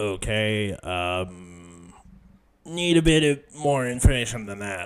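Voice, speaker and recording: A man performs a put-on character voice at medium pitch with lively intonation. He goes at a fairly slow pace, with big swings in loudness. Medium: actual play. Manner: curt, dry.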